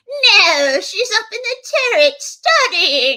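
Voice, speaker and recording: Cackling in a put-on character voice, a woman speaks at an extremely high pitch and a very slow pace, theatrical in tone, with very wide pitch swings. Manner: ridiculous, cackling, theatrical.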